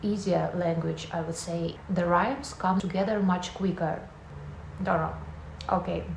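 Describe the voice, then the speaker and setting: Spoken with a Russian accent at a fairly slow pace, with fairly even intonation and long, frequent pauses. Noticeable background noise and audible room echo surround the voice. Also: woman, fairly low pitch for a woman. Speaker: vlogger. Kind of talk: casual vlog talk to camera.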